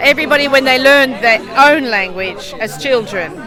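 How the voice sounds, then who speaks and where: Amid crowd noise and audible room echo, a woman speaks with a Melbourne accent in a high pitch. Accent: Australian (Melbourne). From Australia, Melbourne. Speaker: English professor. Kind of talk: interview.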